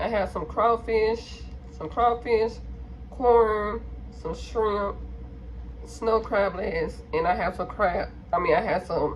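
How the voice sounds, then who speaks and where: A woman speaking at a very slow pace over noticeable background noise. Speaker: mukbang vlogger. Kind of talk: casual vlog chat while eating. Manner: mouth full, eating sounds.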